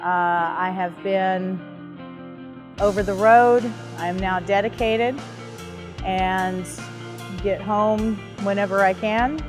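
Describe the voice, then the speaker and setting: Clear music plays in the background as a woman speaks very slowly with fairly even intonation. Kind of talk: interview answer. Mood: reflective, warm. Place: street.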